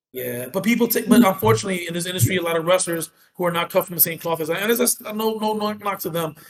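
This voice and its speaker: Here a man with an American accent speaks very fast, with hardly any pauses. His pitch is high and his intonation lively. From New York City, Dominican family. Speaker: professional wrestler and military veteran. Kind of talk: casual chat; in-character wrestling promo talk on podcast. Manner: boastful, brash.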